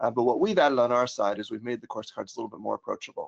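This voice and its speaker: An American-accented man is heard in a dry, close sound with no echo. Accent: American accent, noticeable to Germans. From United States. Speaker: software trainer, former teacher. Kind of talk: webinar tutorial. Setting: online webinar with screen share. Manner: casual, many filler words.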